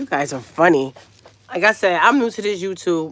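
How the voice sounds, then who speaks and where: Here a woman speaks with a New York accent. Her intonation is lively. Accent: New York City. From Brooklyn, New York. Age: 40s. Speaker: YouTube livestreamer. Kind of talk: casual live stream chat. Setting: livestream. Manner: animated.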